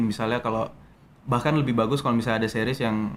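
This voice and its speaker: Here a man talks in a monotone, flat intonation. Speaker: actor. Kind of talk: interview conversation.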